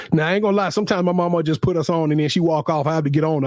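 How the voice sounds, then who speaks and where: A man with a fairly high pitch talks very fast, and noticeable background noise is audible. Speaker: sports talk show co-host. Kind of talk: casual chat. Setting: live stream. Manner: loud.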